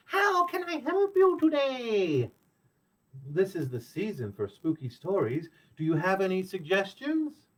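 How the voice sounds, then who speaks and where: A man puts on a squeaky character voice at a high pitch. He goes at a moderate pace. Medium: read story.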